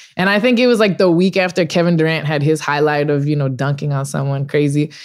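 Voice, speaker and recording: Speaking with a Californian accent, a woman talks fairly quickly at a very deep, low pitch. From Los Angeles. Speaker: sports photographer. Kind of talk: casual chat.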